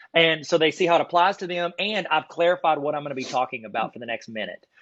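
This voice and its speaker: A man speaks at a very fast pace, his fairly high voice moving with ordinary pitch variation. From US South (south Arkansas). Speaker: card collecting YouTuber and teacher trainer. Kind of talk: casual podcast chat. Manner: animated.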